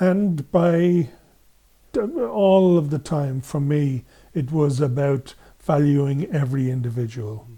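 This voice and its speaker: The voice has a dark, mellow tone and is somewhat breathy, in an Irish accent. Its pace is very slow. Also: man, fairly high pitch for a man, ordinary pitch variation. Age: 70s. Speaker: men's group facilitator. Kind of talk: interview.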